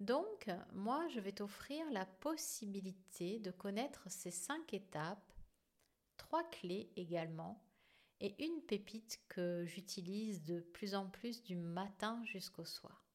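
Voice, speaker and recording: Her intonation lively and her pitch medium, a woman speaks at a very slow pace. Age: 50s. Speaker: podcast host and therapist. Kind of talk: solo podcast monologue.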